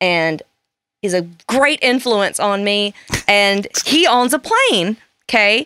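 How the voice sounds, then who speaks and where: Bright and sharp in tone, a woman's fairly high, animated voice moves with lively intonation in a dry, close sound with no echo. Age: 30s. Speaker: podcast guest. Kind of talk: casual chat.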